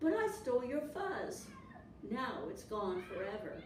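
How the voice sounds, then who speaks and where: A woman puts on a high-pitched character voice at a fairly slow pace. There is slight echo and clear background noise. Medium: read story. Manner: loud, barking.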